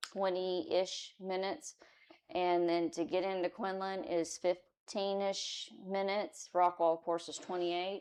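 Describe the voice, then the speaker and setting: A woman with a Texan accent speaks at a medium pitch and a fairly slow pace, her intonation fairly even. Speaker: citizen advisory committee member; city worker who serves warrants. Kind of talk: committee meeting discussion. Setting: town hall meeting room with microphones. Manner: loud.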